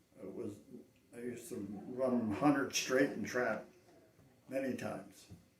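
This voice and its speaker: With noticeable background noise and audible room echo, a man at medium pitch talks at a moderate pace with fairly even intonation, long, frequent pauses and big swings in loudness. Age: 80s+. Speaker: veteran cowboy action shooter. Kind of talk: interview.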